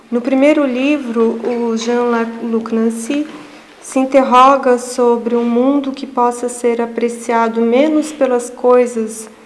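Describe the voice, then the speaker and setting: Soft-spoken and monotone, a woman with a high pitch speaks very slowly, with audible room echo and noticeable background noise. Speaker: researcher giving a lecture. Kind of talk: lecture. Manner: halting.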